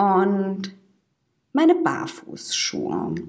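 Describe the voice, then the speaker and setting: A woman speaks with pitch that swings very widely. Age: 20s. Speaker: podcast co-host, social worker. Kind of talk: casual chat.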